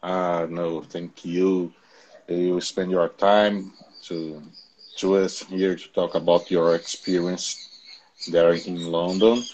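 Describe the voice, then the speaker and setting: A man with a very deep, low voice and a Portuguese accent, very slow and monotone, with long, frequent pauses. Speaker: educational channel host, interviewer. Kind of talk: video interview. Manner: halting, many fillers and repetitions.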